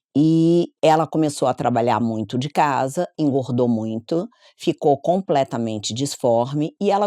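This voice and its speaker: Her dark, mellow tone sits very deep and low for a woman, moving at a fairly slow pace with lively intonation, the sound dry and close with no echo on a very clean recording with a silent background. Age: 60s. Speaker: psychologist. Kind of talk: interview.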